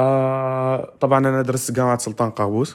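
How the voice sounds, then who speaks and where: A man at a moderate pace with a monotone, flat intonation. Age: 20s. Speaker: university student and podcaster. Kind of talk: casual solo podcast monologue. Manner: halting, many fillers.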